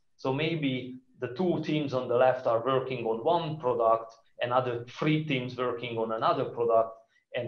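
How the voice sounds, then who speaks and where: A man with a Hungarian accent at a moderate pace. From Hungary. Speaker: conference speaker. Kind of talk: conference talk.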